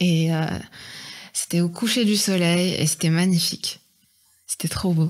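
Long, frequent pauses break up a woman's fairly low voice, which keeps very even loudness and fairly even intonation. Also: fairly slow pace. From Morocco, Oujda. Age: 20s. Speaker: airline pilot cadet. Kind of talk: interview. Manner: hesitant, many fillers.

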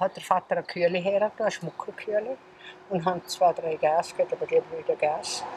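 A woman at a very fast pace, the sound dry with no echo, over light background noise. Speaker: contemporary witness. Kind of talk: interview answer. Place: garden.

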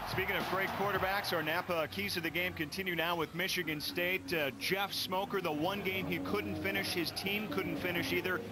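Against noticeable background noise, a man talks at a moderate pace in a high voice, with ordinary pitch variation. His loudness stays very even, and he hardly pauses. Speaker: play-by-play sports commentator. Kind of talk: live sports commentary. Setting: stadium broadcast booth.

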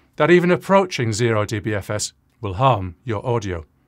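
A man's pitch swings very widely as he talks, with the background quiet. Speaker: audio recording educator. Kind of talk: tutorial. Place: home room. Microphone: studio mic.

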